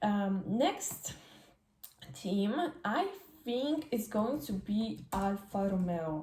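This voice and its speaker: Speaking with a Polish accent, a woman at medium pitch moves at a very slow pace with long, frequent pauses, her intonation lively and her loudness very even. Noticeable background noise is present. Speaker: F1 fan vlogger. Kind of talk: casual vlog commentary. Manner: halting, many fillers.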